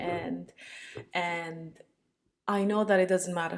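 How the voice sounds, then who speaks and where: Speaking with a Romanian accent, a woman uses ordinary pitch variation. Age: 30s. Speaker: vlogger. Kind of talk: casual monologue. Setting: home, talking to laptop. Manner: rambling, self-interrupting.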